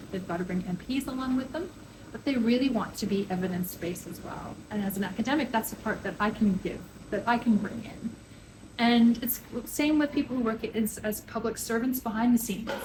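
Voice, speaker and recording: A woman with a Canadian accent and ordinary pitch variation, plus noticeable background noise. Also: fairly high pitch for a woman, fairly quick pace. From Canada. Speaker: public health professor. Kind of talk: interview.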